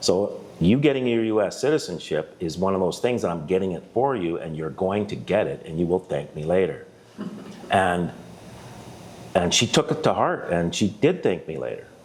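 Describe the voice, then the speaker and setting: The pitch swings very widely at a moderate pace. Noticeable background noise runs underneath. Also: man, fairly low pitch for a man. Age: 60s. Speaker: interview guest. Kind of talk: casual chat. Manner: halting.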